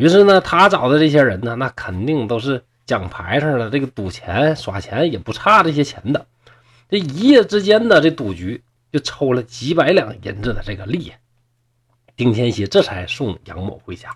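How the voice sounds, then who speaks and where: Speaking at a medium pitch and a moderate pace with a northeastern Chinese accent, a man sounds animated and somewhat breathy, with very wide pitch swings and big swings in loudness, captured in a very clean recording with a silent background. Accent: northeastern Mandarin (Dongbei). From Shenyang, Liaoning, northeast China. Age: 40s. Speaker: storyteller podcaster. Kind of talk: storytelling narration.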